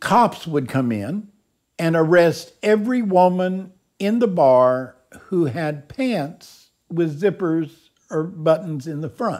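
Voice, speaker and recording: A man with a Texan accent, high-pitched, lively intonation, very slow pace, on a very clean recording with a silent background. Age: 70s. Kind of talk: documentary interview storytelling. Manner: colorful, humorous raconteur.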